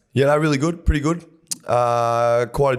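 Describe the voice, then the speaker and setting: A man's voice in an Australian accent, at a moderate pace, with ordinary pitch variation. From Gold Coast, Queensland, Australia. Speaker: professional rugby league player. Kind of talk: casual chat.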